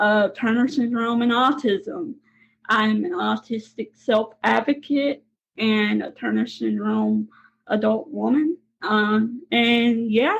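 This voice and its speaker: Her speech is very slow. This woman talks with a Southern accent. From Mississippi, US South. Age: 20s. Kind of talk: interview.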